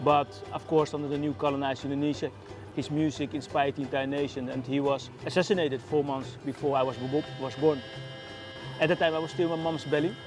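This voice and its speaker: With music playing behind him, a man speaks very fast in a fairly high voice with fairly even intonation. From Netherlands. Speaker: activist. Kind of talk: testimony.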